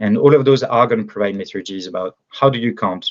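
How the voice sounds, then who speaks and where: This voice has a French accent. It belongs to a man. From France. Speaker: agritech startup founder. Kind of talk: interview. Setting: podcast. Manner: halting, many fillers.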